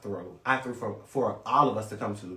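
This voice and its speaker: A man speaks with ordinary pitch variation. Noticeable background noise and audible room echo are present. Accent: American. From US South, Lake City, Florida. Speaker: reality TV cast member. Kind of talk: casual interview.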